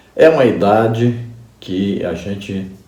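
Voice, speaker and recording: A man speaks at a very slow pace in a dark, mellow tone with ordinary pitch variation. Audible room echo surrounds his voice. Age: 60s. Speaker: pastor and Bible teacher. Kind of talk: Bible study lesson.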